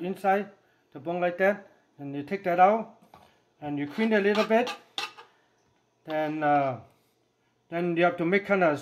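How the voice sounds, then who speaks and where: Moderate pace with long, frequent pauses over light background noise. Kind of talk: tutorial. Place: kitchen.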